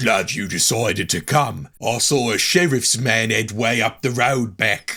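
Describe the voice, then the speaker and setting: In a raspy, put-on character voice, a man talks at a moderate pace and medium pitch with hardly any pauses. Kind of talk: mock-medieval game dialogue. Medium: game stream.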